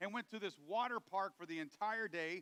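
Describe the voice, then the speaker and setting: A raised, projected voice at a very fast pace, with a dry, close sound and no echo. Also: man. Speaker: pastor. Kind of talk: sermon.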